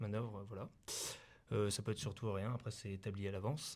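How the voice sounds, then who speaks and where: A man with a fairly low pitch and fairly even intonation is heard on a very clean recording with a silent background. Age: 20s. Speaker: volunteer firefighter. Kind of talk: interview. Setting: mobile TV studio in town hall. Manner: halting, many fillers.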